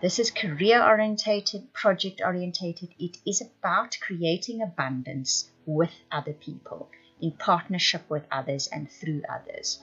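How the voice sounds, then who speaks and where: With music playing behind her, a woman talks at a fairly slow pace with hardly any pauses, her medium-pitched voice carrying lively intonation. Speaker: tarot reader. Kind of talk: tarot forecast reading.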